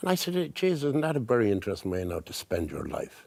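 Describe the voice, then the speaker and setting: On a very clean recording with a silent background, a man with an Irish accent speaks in very wide pitch swings. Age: 70s. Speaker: artist. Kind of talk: casual chat.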